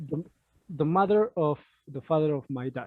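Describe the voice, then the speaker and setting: Somewhat breathy, a man talks with a non-native accent and ordinary pitch variation. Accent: non-native English speaker. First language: Spanish. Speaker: discussion group member. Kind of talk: casual group discussion. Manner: halting, many fillers.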